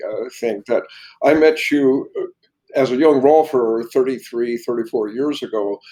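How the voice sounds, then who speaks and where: Speaking at a fairly slow pace, a man uses a fairly high pitch with ordinary pitch variation. His tone is dark and mellow. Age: 70s. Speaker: bodywork teacher and massage therapist. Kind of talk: interview.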